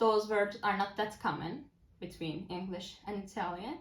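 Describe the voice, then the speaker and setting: A woman with a Turkish accent sounds somewhat breathy. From Turkey, Istanbul. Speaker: language-learning vlogger, university student. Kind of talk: casual vlog talk.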